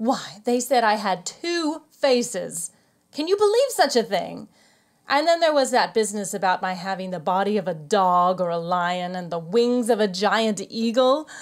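In a normal speaking voice, a woman talks at medium pitch and a moderate pace with lively intonation. The recording is very clean, with a silent background. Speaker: actor playing the Sphinx. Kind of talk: audio play dialogue, staged comic performance in character. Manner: coy, teasing, flirtatious, evasive, arch and playful.

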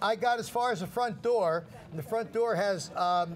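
A man talks at a moderate pace with an American accent. His pitch is high, and there is light background noise. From New Jersey, Red Bank; New Jersey. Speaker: shopping channel host. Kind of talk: casual storytelling on live TV. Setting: TV studio. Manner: animated. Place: studio. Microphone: lapel.

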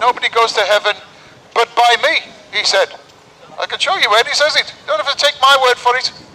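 Using a raised, projected voice, a man speaks at a fairly quick pace with fairly even intonation. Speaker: street preacher. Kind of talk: sermon. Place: street.

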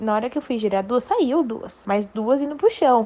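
A woman in an ordinary speaking voice, moderate in pace, with ordinary pitch variation. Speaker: dancer telling a story. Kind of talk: personal anecdote, recorded audio.

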